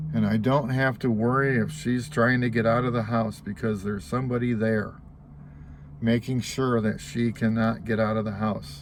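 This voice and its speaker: A man with an ordinary speaking voice, medium pitch, ordinary pitch variation, a moderate pace and very even loudness. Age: 60s. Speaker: vlogger. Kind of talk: casual vlog monologue.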